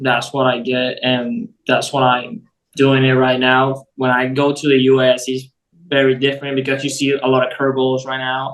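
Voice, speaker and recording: A man speaks at a moderate pace in a medium pitch, with a monotone, flat intonation. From Venezuela. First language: Spanish. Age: 18. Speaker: baseball prospect. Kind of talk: interview. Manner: halting.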